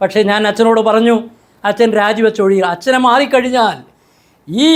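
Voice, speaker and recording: A man's voice with ordinary pitch variation. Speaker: church affairs commentator. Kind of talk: video commentary monologue.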